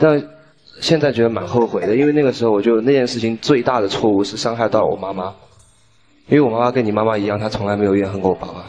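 A man speaks very fast with ordinary pitch variation as music plays in the background. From Xiamen, Fujian. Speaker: male dating show contestant. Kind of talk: dating show conversation. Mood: earnest, regretful. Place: stage. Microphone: handheld.

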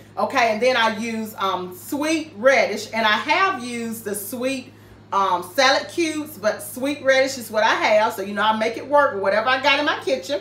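At a moderate pace and with hardly any pauses, a woman talks in audible room echo. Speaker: home cooking vlogger. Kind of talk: casual cooking tutorial. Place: kitchen. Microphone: camera far.

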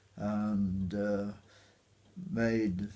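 Here a man talks with a Yorkshire accent. His pitch is fairly low and his intonation fairly even. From Otley, Yorkshire. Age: 80s+. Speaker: war veteran. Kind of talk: interview answer. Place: home room.

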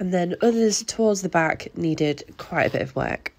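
The speaker has a Yorkshire accent. The intonation is lively. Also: woman. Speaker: gardener, allotment vlogger. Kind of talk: gardening vlog voice-over.

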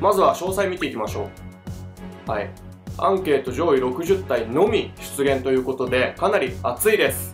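Music plays in the background as a man at a medium pitch speaks at a fairly quick pace. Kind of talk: casual game commentary.

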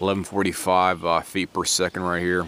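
With a very deep, low pitch, a man speaks in a dry sound with no echo over noticeable background noise. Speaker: shooter reviewing gear. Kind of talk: product demo commentary. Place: open country. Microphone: phone near.

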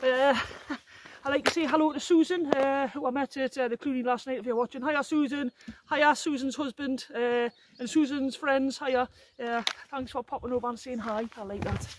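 At a moderate pace, a woman with a high pitch and fairly even intonation is heard in a dry recording with no echo but noticeable background noise. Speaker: solo hiker vlogger. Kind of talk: casual vlog chat. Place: forest. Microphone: phone near.

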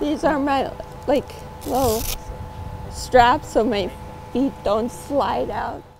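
At a very slow pace, a woman speaks in a high voice with ordinary pitch variation and long, frequent pauses. Music plays in the background, and the sound is dry with no echo. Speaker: fundraiser cyclist. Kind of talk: interview answer.

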